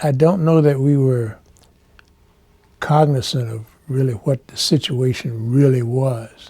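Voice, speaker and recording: A man with an American accent speaks at medium pitch in a dark, mellow, somewhat breathy tone, with ordinary pitch variation, big swings in loudness, and long, frequent pauses. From Petersburg, Virginia (US South). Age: 70s. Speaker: military veteran, civil rights interviewee. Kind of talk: oral history interview.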